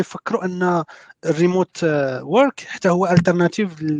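A man speaks at a moderate pace, his voice high in pitch, with ordinary pitch variation. The sound is dry and close with no echo, and the background is quiet. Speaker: software developer. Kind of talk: casual panel discussion.

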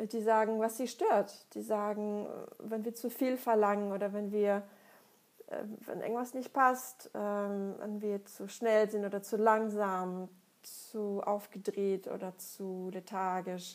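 Delivered at a very slow pace in a Russian accent, the speech stays monotone with flat intonation. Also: woman, medium pitch for a woman. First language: Russian (speaking German). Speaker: psychologist and author. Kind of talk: monologue answering listener questions.

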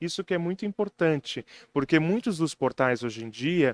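The sound is dry and close, with no echo. A man with a high pitch speaks at a moderate pace with lively intonation. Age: 20s. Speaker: local news website founder. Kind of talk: casual interview.

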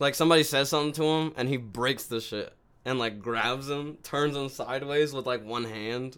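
Speaking at a moderate pace with a fairly high pitch and fairly even intonation, a man has an unremarkable speaking voice, heard on a very clean recording with a silent background. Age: 20s. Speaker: podcast co-host. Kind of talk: casual chat.

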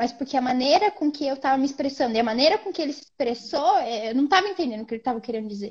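Her voice is high-pitched for a woman. Its pitch swings very widely. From Brazil, Londrina (northern Paraná). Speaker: medical student. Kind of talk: casual interview.

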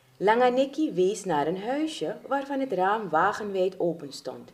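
Intonation rises and falls in a lively way through an unforced reading voice.

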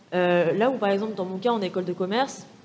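A woman's voice with fairly even intonation and noticeable background noise. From France, Paris suburbs (Val-de-Marne, near Orly). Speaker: business school student. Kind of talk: panel discussion.

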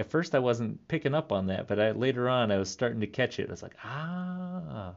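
A man talks in an ordinary speaking voice at a medium pitch. His pace is moderate. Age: 30s. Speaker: podcast host, clown entertainer. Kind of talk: casual monologue. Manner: laughs often, relaxed.

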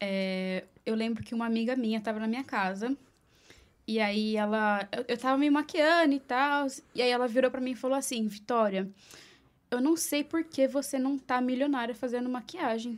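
A woman with a high voice speaks at a moderate pace with ordinary pitch variation on a very clean recording with a silent background. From Brazil, Mogi das Cruzes (Greater São Paulo). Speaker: makeup artist. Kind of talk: casual interview.

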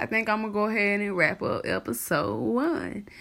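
In a South Carolina accent, a woman speaks at medium pitch. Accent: US Southern, South Carolina. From South Carolina (Ridgeway). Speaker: podcast host, music promoter. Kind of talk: casual solo talk.

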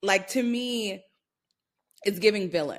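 A woman with a New York accent, fairly slow pace and ordinary pitch variation. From New York City (Brooklyn), Jamaican roots. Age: 30s. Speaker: creative marketing executive. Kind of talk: casual chat.

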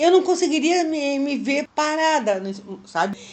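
Fairly slow delivery with lively intonation. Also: woman. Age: 60s. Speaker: retiree working as a freelancer. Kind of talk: interview testimony.

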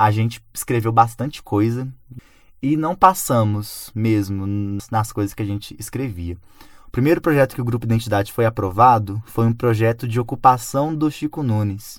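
Pitch moves in an ordinary way. The words come at a medium speed. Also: man, medium pitch for a man. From Brazil, Belo Horizonte. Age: 20s. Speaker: artist and cultural producer. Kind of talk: radio interview. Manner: halting, with repeated words.

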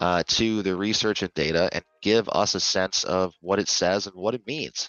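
Using an unremarkable speaking voice, a man talks with ordinary pitch variation. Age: 30s. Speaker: podcast host and advocacy organizer. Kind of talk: interview.

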